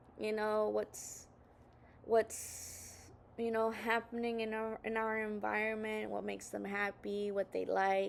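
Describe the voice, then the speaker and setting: In a Spanish accent, a woman speaks at a fairly slow pace. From Southern California. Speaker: video blogger. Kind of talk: casual monologue. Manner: halting, many fillers.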